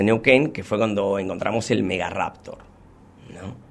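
A man is speaking. His pace is fairly quick. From Buenos Aires, Argentina (Munro). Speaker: paleontology technician. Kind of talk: casual interview.

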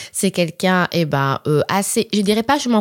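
On a very clean recording with a silent background and a dry, close sound with no echo, a woman at medium pitch speaks at a moderate pace with lively intonation. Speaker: podcast host. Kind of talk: casual chat.

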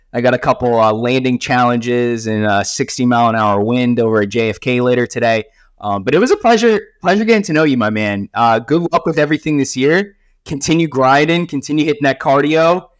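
Over a quiet background, a man with an unremarkable speaking voice and medium pitch moves at a fairly quick pace with lively intonation. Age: 30s. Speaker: podcast host and life coach. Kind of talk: casual interview chat.

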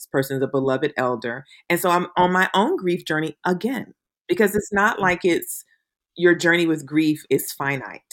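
Against a silent background in a very clean recording, a woman with an unremarkable speaking voice talks at a moderate pace, her fairly low pitch rising and falling in lively intonation. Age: 50s. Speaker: podcast host. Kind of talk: casual chat.

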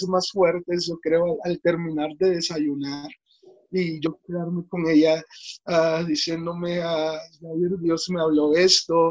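A very slow, monotone, flat delivery from a man with a high pitch. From Mexico, Veracruz. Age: 20s. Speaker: pastor. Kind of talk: interview.

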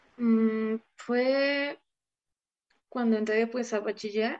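With monotone, flat intonation, a woman's voice sits at a fairly high pitch. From Mexico, Puebla state. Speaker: flutist. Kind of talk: interview.

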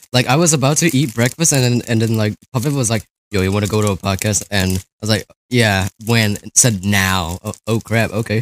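On a very clean recording with a silent background, a man with a plain, everyday voice at a fairly low pitch speaks at a moderate pace with ordinary pitch variation. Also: dry, close sound with no echo. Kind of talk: casual chat.

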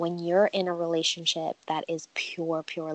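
A woman with a New York accent, a fairly low pitch and a fairly slow pace. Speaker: podcast guest. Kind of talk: casual chat.

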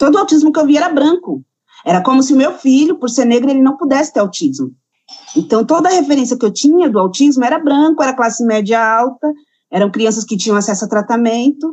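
Speaking at a fairly quick pace, a woman with a high voice makes very wide pitch swings. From São Paulo, Brazil. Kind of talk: interview answer.

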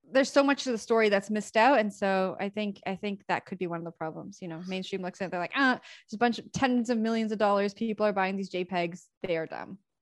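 A woman with a Canadian accent at a very fast pace with hardly any pauses, medium pitch, ordinary pitch variation and big swings in loudness, in a very clean recording over a silent background with a dry, close sound and no echo. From Canada. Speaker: crypto media show co-host. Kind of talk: casual chat.

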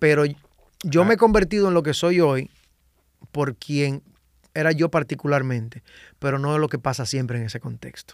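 A man with a Dominican accent and a fairly high voice, at a moderate pace with long, frequent pauses and ordinary pitch variation, on a very clean recording with a silent background and a dry, close sound with no echo. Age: 30s. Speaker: salsa singer and composer. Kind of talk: casual interview chat. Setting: podcast studio.

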